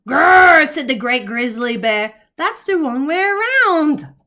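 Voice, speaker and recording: The speaker uses a put-on character voice. Delivery comes at a fairly slow pace. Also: woman, high pitch for a woman. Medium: read story.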